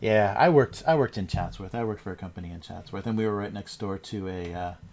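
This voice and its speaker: With an American accent, a man speaks in a relaxed tone at a fairly low pitch. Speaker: cartoonist livestreamer. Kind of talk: casual livestream chat while drawing. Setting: livestream from home. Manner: relaxed, rambling with fillers.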